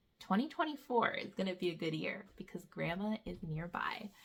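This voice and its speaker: A bright, sharp tone with vocal fry carries lively intonation at a moderate pace. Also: woman. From Canada. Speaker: homeschool vlogger. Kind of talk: casual vlog update. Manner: animated.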